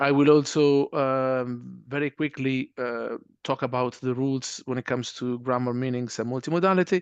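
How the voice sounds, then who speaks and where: A man with a non-native accent at medium pitch, fairly even intonation and hardly any pauses, in a dry, close sound with no echo over a quiet background. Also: moderate pace. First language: not English. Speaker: university lecturer. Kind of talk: webinar presentation. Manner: hesitant, many fillers.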